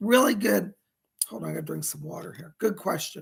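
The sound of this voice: A man puts on a hoarse, raspy character voice pitched fairly high, with very wide pitch swings and big jumps in loudness. He talks at a fairly quick pace.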